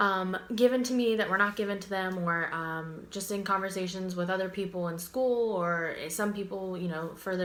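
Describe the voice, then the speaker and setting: A woman in an American accent at a moderate pace, with fairly even intonation and audible room echo. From Pittsburgh and Florida, US. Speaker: university student. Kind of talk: class presentation video. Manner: casual, many fillers (um).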